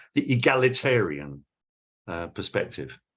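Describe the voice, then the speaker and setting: A fairly slow pace with a British accent. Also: man. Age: 70s. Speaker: academic speaker. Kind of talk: lecture.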